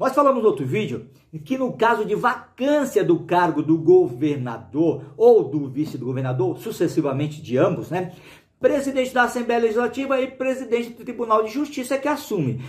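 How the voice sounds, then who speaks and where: A man's high voice at a moderate pace, with very wide pitch swings and audible room echo. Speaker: law teacher for police exam prep. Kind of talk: video lecture. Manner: casual, animated.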